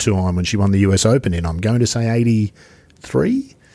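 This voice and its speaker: On a very clean recording with a silent background, a man with an Australian accent and a dark, mellow tone talks at a fairly quick pace. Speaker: podcast host. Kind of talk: casual interview.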